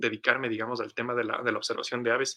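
A man's medium-pitched voice has a bright, sharp tone and ordinary pitch variation. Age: 20s. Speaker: biologist and bird illustrator. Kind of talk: interview storytelling. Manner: halting, repeats words.

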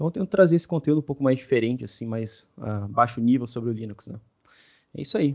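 Very fast and full of big swings in loudness, this man talks with lively intonation. His pitch sits at a medium level. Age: 20s. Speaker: DevOps engineer and tech content creator. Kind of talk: casual interview.

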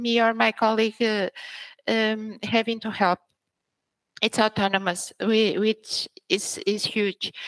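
On a very clean recording with a silent background, a woman with a Portuguese accent speaks very slowly at a fairly high pitch in a flat monotone. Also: dry, close sound with no echo. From Portugal (Braga), born in Angola. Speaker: senior technical writer. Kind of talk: interview.

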